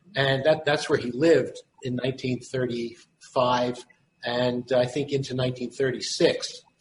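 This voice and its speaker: Speaking in a Philadelphia accent, a man with a medium-pitched voice keeps a moderate pace and fairly even intonation. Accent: Philadelphia American. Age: 70s. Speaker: son of a prison doctor. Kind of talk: recounting family history. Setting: video call. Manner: halting.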